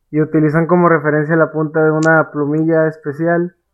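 A man's fairly high-pitched voice moves along at a moderate speed. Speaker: podcast co-host, amateur illustrator. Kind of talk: casual chat.

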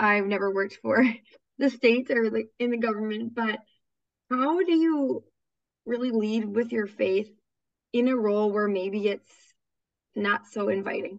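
A woman with an American accent speaks at a fairly high pitch. Her pace is fairly slow, with long, frequent pauses. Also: ordinary pitch variation. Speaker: podcast host. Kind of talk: casual interview. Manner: enthusiastic.

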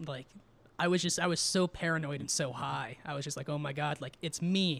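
A man with a normal speaking voice and an American accent, fairly high in pitch, with fairly even intonation at a moderate pace. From Southern California desert (Twentynine Palms area). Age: 20s. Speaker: stand-up comedian. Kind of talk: casual chat.

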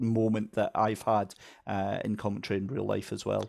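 In a Scottish accent, a man with a fairly low voice talks at a moderate pace in a flat monotone, recorded very cleanly against a silent background. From Scotland. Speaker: motorsport commentator. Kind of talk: casual chat.

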